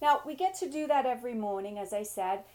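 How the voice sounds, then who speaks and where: High-pitched and swinging very widely in pitch, a woman talks at a fairly quick pace. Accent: English. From England. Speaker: business coach. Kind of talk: summit presentation. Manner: animated.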